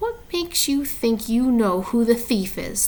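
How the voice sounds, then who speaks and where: Putting on a character voice, a woman hisses at a high pitch. She keeps a moderate pace with lively intonation. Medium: read story. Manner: low-voiced, sly.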